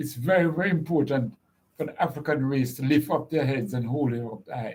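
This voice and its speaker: This man's pitch is fairly high. His voice comes across somewhat breathy. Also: ordinary pitch variation, fairly quick pace. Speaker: radio show host. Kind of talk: live radio hosting.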